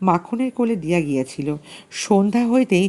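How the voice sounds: The speaker has a natural reading voice. The intonation is lively.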